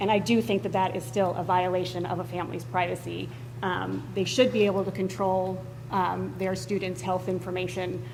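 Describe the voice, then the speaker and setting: With lively intonation and a medium pitch, a woman talks at a moderate pace amid audible room echo. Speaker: school board member. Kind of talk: public meeting debate. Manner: hesitant, many fillers; loud.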